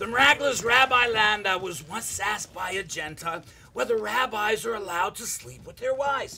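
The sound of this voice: A man's put-on character voice, high-pitched and bright and sharp in tone, with vocal fry and lively intonation. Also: moderate pace.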